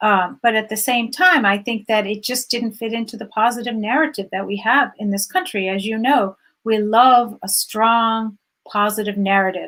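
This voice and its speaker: A woman's plain, everyday voice, fairly high in pitch, with ordinary pitch variation at a moderate pace on a very clean recording with a silent background. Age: 60s. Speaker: journalist. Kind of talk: interview.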